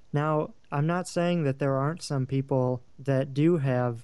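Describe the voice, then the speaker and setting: Talking fairly slowly, a man keeps his intonation fairly even. His is an unremarkable speaking voice, medium in pitch. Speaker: field interviewer. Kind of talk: casual interview.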